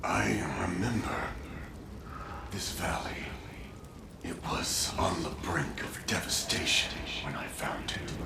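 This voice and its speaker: A man whispering in a cartoonish character voice at a fairly slow pace, over loud background noise. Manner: slow, dreamy.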